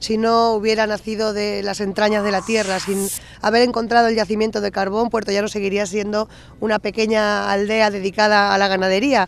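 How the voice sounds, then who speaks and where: With light background noise and a dry sound with no echo, a woman speaks at a moderate pace in a monotone, flat way. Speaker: town mayor. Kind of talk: interview answer. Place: open country. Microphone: handheld.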